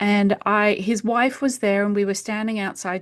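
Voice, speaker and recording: A woman in a British accent talks at a moderate pace. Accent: British accent, retained. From UK. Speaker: homeopath. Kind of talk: podcast interview.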